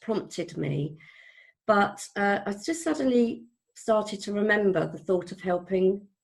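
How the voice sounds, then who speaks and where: A woman's somewhat breathy voice sits at a medium pitch and moves at a fairly slow pace. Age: 60s. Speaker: business coach. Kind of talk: interview answer. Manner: hesitant, emotional.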